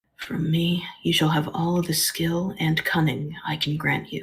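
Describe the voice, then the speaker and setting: A raspy, soft-spoken whisper in a put-on character voice at a fairly slow pace. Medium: read story. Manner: gentle, solemn.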